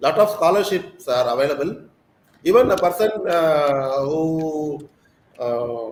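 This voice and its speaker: A man's fairly high-pitched, very slow speech in a Tamil accent with lively intonation. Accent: Tamil-accented Indian English. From South India, Tamil Nadu. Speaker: school principal. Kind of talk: interview. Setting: live online session.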